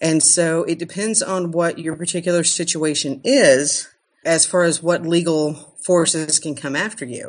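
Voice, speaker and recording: A woman has a plain, everyday voice, fairly low in pitch, against a quiet background. She talks at a fairly slow pace with ordinary pitch variation. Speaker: attorney. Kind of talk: podcast interview.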